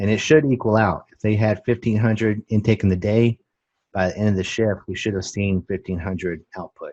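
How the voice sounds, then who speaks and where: Over a quiet background, a man with a fairly low pitch and an unremarkable speaking voice talks fairly quickly with fairly even intonation, the sound dry and close with no echo. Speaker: nursing instructor. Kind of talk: online class lecture.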